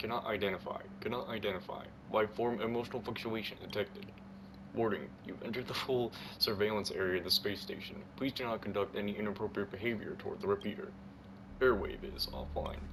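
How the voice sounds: A robotic, put-on character voice races along at a very fast pace. Loud background noise runs underneath. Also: man, medium pitch for a man.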